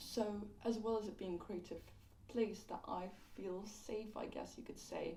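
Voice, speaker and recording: A woman at medium pitch and moderate pace, with fairly even intonation, audible room echo and noticeable background noise. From London. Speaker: YouTube commentator. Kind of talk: casual video commentary. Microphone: poor audio quality.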